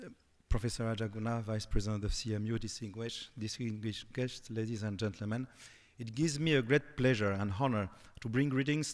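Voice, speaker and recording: Speaking at a very fast pace with a French accent, a man keeps a medium pitch and fairly even intonation. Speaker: ambassador. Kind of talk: formal speech. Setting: conference podium. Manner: formal.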